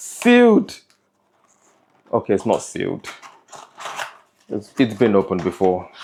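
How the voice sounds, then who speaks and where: Long, frequent pauses from a male speaker at a fairly slow pace. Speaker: car vlogger. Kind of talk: casual chat; vlog talk to camera. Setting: in a convertible car. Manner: animated; loud.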